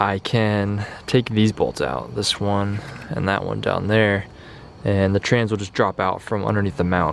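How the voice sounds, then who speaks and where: A man speaks at a fairly low pitch and a fairly slow pace with ordinary pitch variation. Noticeable background noise is present. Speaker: car DIY youtuber. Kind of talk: work vlog narration. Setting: garage at night. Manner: soft-spoken.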